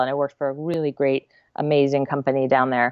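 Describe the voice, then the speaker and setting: A woman's very deep, low voice with an American accent, very fast and monotone. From US West Coast, Santa Cruz, California. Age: 40s. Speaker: nonprofit founder, former animation production manager. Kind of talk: interview conversation.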